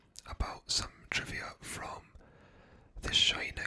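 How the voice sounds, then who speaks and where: A man is whispering. Noticeable background noise runs under his voice. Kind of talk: ASMR movie trivia narration. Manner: whispered, soft-spoken.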